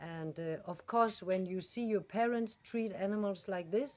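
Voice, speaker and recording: Speaking at a fairly slow pace with a Danish accent, a woman uses lively intonation and a dark, mellow tone. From Denmark. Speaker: animal rescuer vlogger. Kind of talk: casual vlog monologue. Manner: halting, many fillers.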